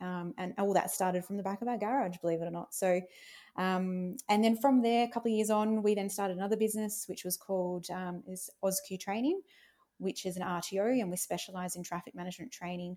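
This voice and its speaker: With an Australian accent, a woman speaks at a fairly quick pace in a medium pitch with ordinary pitch variation. Her tone is dark and mellow, and the recording is very clean with a silent background. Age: 30s. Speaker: business owner. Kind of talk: interview.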